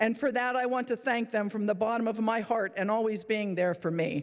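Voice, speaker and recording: A woman speaks at a moderate pace with fairly even intonation over a quiet background. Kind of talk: farewell speech. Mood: emotional, grateful. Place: hall. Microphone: podium.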